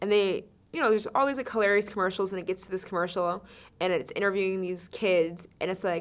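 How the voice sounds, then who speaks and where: A woman at medium pitch, talking at a very fast pace. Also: fairly even intonation. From US Midwest, Ohio (Shaker Heights). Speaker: music festival co-founder. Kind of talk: podcast interview. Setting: studio.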